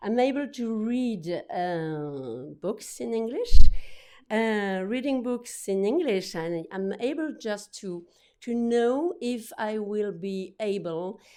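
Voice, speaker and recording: A woman with a French accent speaks at a very slow pace in a dark, mellow tone, her intonation lively and her loudness swinging widely. The recording is very clean, with a silent background. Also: fairly high pitch for a woman. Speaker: book publisher. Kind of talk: conference talk. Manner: halting, many repetitions and fillers.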